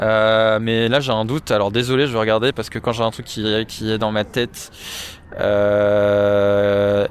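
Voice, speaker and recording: Fairly low in pitch, a man speaks at a fairly slow pace. His intonation is monotone and flat. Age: 20s. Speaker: podcast guest, music fan. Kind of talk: casual chat.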